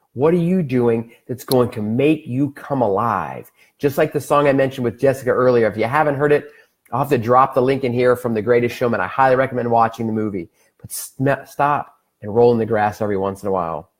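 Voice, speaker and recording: A man's normal speaking voice at a medium pitch, with ordinary pitch variation and a fairly quick pace. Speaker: wellness livestream host. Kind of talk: live stream talk.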